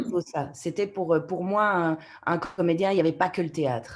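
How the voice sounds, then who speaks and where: On a very clean recording with a silent background, a woman speaks at a moderate pace. Her pitch varies in an ordinary way. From Canada. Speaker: voice actor. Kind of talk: interview answer.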